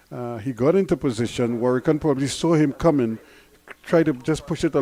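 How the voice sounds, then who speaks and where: In a Guyanese accent, a man speaks with a dark, mellow tone. His pace is moderate and his pitch variation ordinary. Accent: variation of Guyanese. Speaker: cricket commentator. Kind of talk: live commentary.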